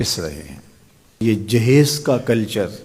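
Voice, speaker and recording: Intonation rises and falls in a lively way. The tone sounds dark and mellow, with some breathiness. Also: man. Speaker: Islamic preacher. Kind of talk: religious sermon (bayan) on marriage customs.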